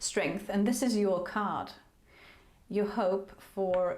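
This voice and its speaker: Audible room echo surrounds a woman speaking at medium pitch and a fairly slow pace with ordinary pitch variation. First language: not English. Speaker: tarot reader. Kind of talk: tarot reading. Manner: halting.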